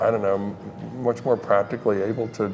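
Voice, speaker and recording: Fairly quick speech with audible room echo and music in the background. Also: man. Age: 70s. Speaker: HIV conference interviewer. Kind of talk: casual interview chat. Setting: medical conference. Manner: halting, many restarts.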